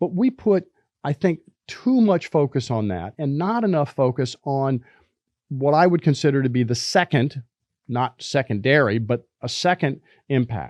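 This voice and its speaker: A man with a fairly high pitch and an ordinary speaking voice talks at a moderate pace with lively intonation, the sound dry and close with no echo over a quiet background. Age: 60s. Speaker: business professor and podcast host. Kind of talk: podcast lecture. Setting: studio. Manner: repeats words while thinking.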